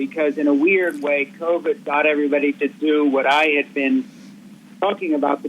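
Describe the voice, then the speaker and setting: A man with an American accent and a fairly high pitch, lively intonation at a moderate pace, with noticeable background noise. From Switzerland, American parents. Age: 60s. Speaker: author. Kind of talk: radio interview. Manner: fluent, long sentences.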